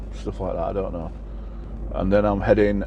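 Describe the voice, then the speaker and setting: The speaker has a Yorkshire accent. Room echo is audible, along with noticeable background noise. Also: man. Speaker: truck driver vlogger. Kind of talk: casual vlog monologue.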